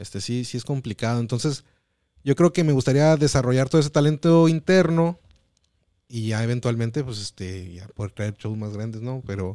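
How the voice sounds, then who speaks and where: In a very clean recording with a silent background and a dry, close sound with no echo, a man speaks at a moderate pace in a medium-pitched, dark, mellow tone with lively intonation and big swings in loudness. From Mexicali, Baja California, Mexico. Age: 30s. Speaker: stand-up comedian. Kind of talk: casual chat.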